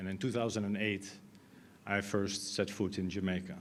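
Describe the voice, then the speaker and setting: A fairly low-pitched man at a fairly quick pace, monotone and flat, with audible room echo. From Netherlands. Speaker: IT consultant. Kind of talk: conference talk. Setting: stage with audience. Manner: halting.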